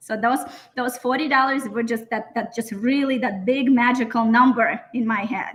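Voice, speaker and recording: A woman with a Russian accent speaks at a moderate pace in a high pitch with fairly even intonation. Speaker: interview guest. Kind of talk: personal story in interview.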